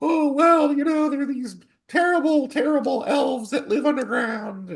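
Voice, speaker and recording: Someone puts on a high-pitched character voice at a moderate pace. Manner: dramatic, put-on.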